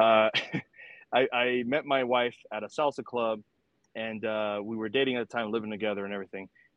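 A man with an American accent and an ordinary speaking voice, medium in pitch, fairly even in intonation, at a fairly quick pace. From New York City (Washington Heights, Manhattan). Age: 30s. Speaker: cigar company founder, Air Force veteran. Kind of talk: interview.

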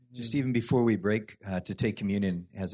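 Against a quiet background, a man with an American accent and a fairly low pitch talks at a fairly quick pace in a normal speaking voice with ordinary pitch variation. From California. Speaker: worship leader. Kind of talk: testimony. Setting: church.

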